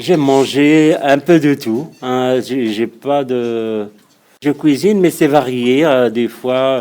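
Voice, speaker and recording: With a North African accent, a man speaks at a very slow pace in a dark, mellow tone. His pitch varies in an ordinary way. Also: medium pitch for a man. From Morocco. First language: Berber (speaking French). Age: 50s. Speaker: local resident, amateur chess instructor. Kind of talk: interview answering children's questions. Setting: classroom. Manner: halting, many hesitations and repetitions.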